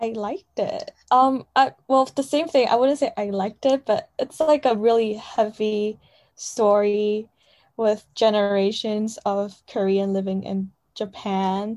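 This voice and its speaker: Speaking fairly slowly with a Chinese accent, a woman uses a fairly high pitch and ordinary pitch variation. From China. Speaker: college student. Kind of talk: casual chat.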